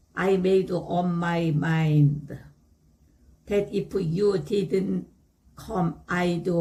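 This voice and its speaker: A woman's very slow, somewhat breathy speech, fairly low in pitch, with a dark, mellow tone and ordinary pitch variation. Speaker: English learner. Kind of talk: reading aloud.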